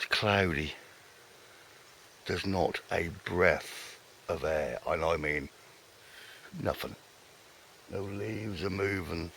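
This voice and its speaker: Speech comes at a very slow pace with long, frequent pauses. Noticeable background noise is present. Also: man. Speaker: fishing vlogger. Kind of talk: casual vlog commentary. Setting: outdoors by a lake. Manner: soft-spoken.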